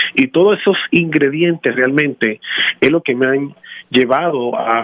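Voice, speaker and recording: A man with an unremarkable speaking voice, fairly high in pitch, with ordinary pitch variation. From Dominican Republic, raised in Washington Heights, New York. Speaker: tax franchise founder. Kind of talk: interview.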